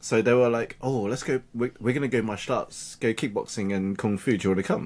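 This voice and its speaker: A man at a fairly quick pace with ordinary pitch variation, on a very clean recording with a silent background. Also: medium pitch for a man. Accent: British. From England, UK. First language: Cantonese. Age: 30s. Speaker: digital marketing coach. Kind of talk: podcast interview. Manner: halting.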